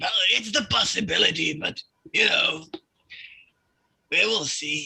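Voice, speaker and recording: Using a put-on character voice, a man speaks fairly slowly in a high, raspy tone. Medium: actual play. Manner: confident, casual, chummy.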